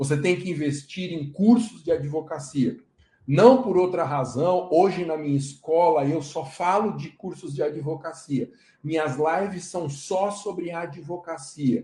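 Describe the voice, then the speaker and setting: A man talks at a fairly slow pace with a dark, mellow tone. His pitch is fairly high, with ordinary pitch variation. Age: 40s. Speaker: law professor and lawyer. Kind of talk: live online lecture.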